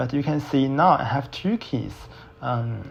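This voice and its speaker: At a fairly slow pace, a man's somewhat breathy, medium-pitched voice shows ordinary pitch variation. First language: not English. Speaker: student. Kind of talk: screen-recorded software tutorial. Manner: slow, hesitant.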